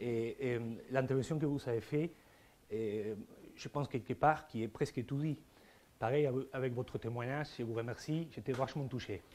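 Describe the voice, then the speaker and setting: A man with an Argentine accent at a medium pitch and moderate pace, ordinary pitch variation and long, frequent pauses. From Argentina, Buenos Aires. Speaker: philosopher. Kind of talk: conference talk. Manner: halting, many repetitions and hesitations.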